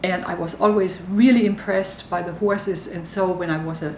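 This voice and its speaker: Speaking with a German accent, a woman of medium pitch holds a moderate pace and fairly even intonation, with audible room echo and noticeable background noise. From Germany. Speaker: university dean. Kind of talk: interview talk to camera.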